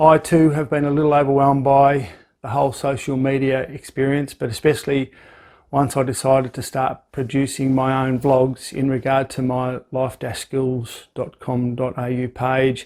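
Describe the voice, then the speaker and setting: A man speaks with a rural Australian accent. His pitch is medium and his pace moderate. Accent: rural Australian twang, noticeable. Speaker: life skills vlogger. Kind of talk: vlog monologue.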